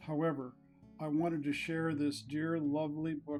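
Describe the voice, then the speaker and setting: Music plays in the background as a man with an American accent speaks at a fairly slow pace and a fairly high pitch. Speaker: narrator. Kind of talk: spoken introduction to a book reading.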